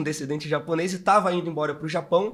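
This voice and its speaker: On a very clean recording with a silent background, a man with an unremarkable speaking voice talks at a fairly high pitch with ordinary pitch variation. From northeastern Brazil, Maceió, Alagoas. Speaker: entrepreneur. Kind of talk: interview, personal life story.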